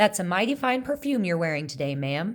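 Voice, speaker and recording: A woman's put-on character voice at a very fast pace, with very wide pitch swings. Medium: read story. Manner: courteous.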